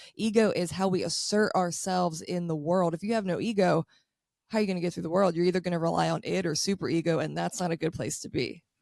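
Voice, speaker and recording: A woman talks at a very fast pace in a fairly low voice with ordinary pitch variation. Her tone is animated. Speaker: astrologer. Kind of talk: casual chat.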